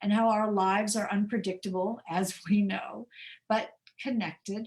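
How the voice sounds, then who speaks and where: Somewhat breathy and fairly high in pitch, a woman with an American accent speaks at a moderate pace. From US Midwest, rural Indiana. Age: 70s. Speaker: mystery novelist, author. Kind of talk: author talk.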